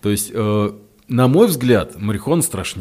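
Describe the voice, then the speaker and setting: Speaking at a fairly slow pace, a man has a plain, everyday voice with a fairly low pitch. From Russia, Ryazan. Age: 30s. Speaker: psychotherapist and addiction doctor. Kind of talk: casual interview chat. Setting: studio.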